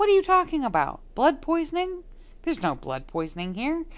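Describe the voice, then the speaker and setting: A woman speaks in a squeaky, put-on character voice at an extremely high pitch. Her pace is fairly quick, and the recording is very clean with a silent background. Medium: read story. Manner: brisk, matter-of-fact.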